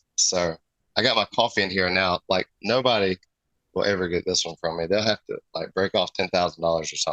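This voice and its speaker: A man with a Southern US accent speaks at a fairly quick pace in a very deep, low pitch with a bright, sharp tone. His intonation stays fairly even, and the sound is dry and close with no echo. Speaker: custom airbrush artist. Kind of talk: casual chat.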